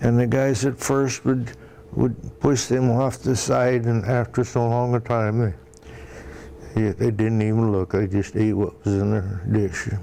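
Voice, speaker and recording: A man with a Midwestern US accent talks with fairly even intonation. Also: medium pitch for a man, fairly slow pace, very even loudness. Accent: US Midwest. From Iowa. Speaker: war veteran. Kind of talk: oral history interview. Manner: halting.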